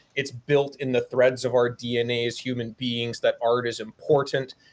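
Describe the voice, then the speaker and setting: A man's monotone, flat delivery at a moderate pace. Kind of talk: interview answer. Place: home room. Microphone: webcam.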